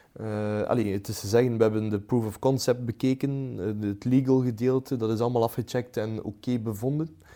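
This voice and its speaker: In a dark, mellow tone, a man speaks at a medium pitch with fairly even intonation. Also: very clean recording, silent background. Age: 20s. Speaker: startup founder and CEO. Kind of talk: interview. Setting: studio sofa.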